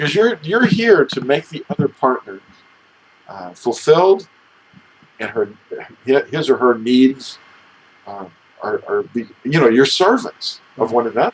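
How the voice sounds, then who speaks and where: With very wide pitch swings, a man talks at a fairly high pitch and a fairly slow pace, pausing long and often over noticeable background noise. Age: 60s. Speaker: religious teacher, talk show co-host. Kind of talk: casual religious discussion.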